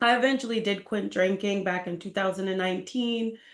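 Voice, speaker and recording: A woman with an American accent and a normal speaking voice talks with fairly even intonation against a quiet background. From Boston, Massachusetts, US. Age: 30s. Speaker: real estate agent sharing a health story. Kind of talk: interview testimony.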